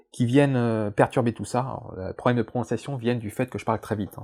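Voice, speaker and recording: Very fast pace and fairly even intonation. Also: man. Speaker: science YouTuber. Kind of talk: casual vlog. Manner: hesitant, many fillers.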